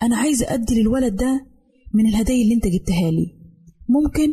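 Her voice fairly high, dark and mellow, and somewhat breathy, a woman with an Egyptian accent speaks at a moderate pace. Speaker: radio program presenter. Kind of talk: scripted radio talk on parenting.

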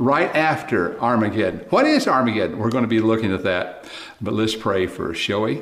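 Amid noticeable background noise and audible room echo, a man with an Oklahoma accent speaks at a moderate pace and medium pitch with lively intonation. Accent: Oklahoma American. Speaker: preacher. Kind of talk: sermon. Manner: animated.

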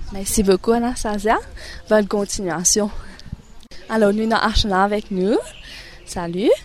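Against noticeable background noise, a woman with a fairly high pitch talks at a fairly slow pace, keeping a fairly even intonation and leaving long, frequent pauses. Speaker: radio presenter of an education programme. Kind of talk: radio interview.

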